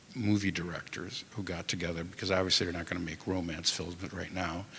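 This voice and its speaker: With monotone, flat intonation, a man talks at a very deep, low pitch. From Ukrainian community in Chicago, US. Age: 60s. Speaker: museum director. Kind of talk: panel discussion. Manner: halting, many fillers and restarts.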